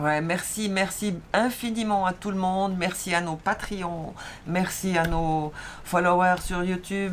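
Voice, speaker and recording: In a strong Swiss accent, a woman speaks at a fairly slow pace. Her pitch is fairly low and her intonation fairly even. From Switzerland. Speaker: sailing vlogger. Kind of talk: casual chat.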